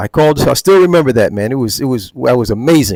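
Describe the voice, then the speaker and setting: This speaker has a New Jersey accent. The pace is fairly quick and the intonation lively. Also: man. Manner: casual, many fillers.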